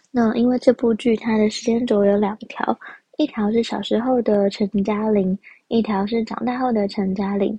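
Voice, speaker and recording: A woman speaks at a fairly high pitch and a moderate pace, sounding somewhat breathy. Her intonation is monotone and flat. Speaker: podcast host. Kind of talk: casual solo podcast talk.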